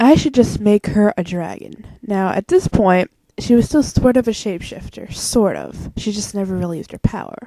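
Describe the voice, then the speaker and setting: Mumbling at a moderate pace, a woman speaks with a dark, mellow tone at a medium pitch, with ordinary pitch variation and big swings in loudness, in a dry, close recording with no echo. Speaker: vlogger. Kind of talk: casual unscripted monologue. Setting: home alone. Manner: rambling with many fillers.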